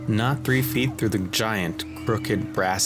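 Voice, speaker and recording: A man speaks at a fairly slow pace and fairly low pitch. He has an American accent, and music plays in the background. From Bronx, New York. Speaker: voice actor, narrator. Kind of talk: horror story narration.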